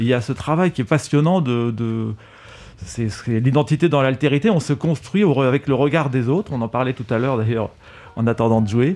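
This man speaks at a moderate pace and medium pitch, with ordinary pitch variation. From France, Paris area then Alpes-de-Haute-Provence. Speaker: percussionist. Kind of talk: radio interview. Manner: halting, hesitant.

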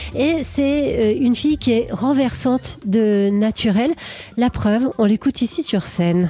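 A woman at a fairly high pitch, very slow, with lively intonation and very even loudness over noticeable background noise. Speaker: radio host. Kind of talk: radio DJ patter, live jazz morning show chat. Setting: radio studio. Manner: warm, playful, chatty and affectionate.

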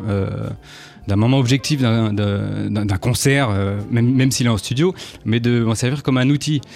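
A man talks at a moderate pace with a medium pitch and ordinary pitch variation. Noticeable background noise runs under his voice. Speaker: jazz trumpeter. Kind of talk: interview. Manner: halting, repeats words.

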